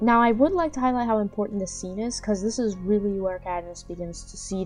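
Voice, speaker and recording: With music playing behind her, a woman talks at a medium pitch. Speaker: movie reviewer. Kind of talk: casual movie review talk to camera.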